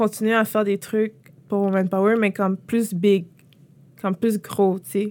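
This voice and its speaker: The speaker is a woman. Her voice falls at a medium pitch. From Quebec, Montreal-Nord. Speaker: entrepreneur. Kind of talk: interview. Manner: casual, halting with fillers.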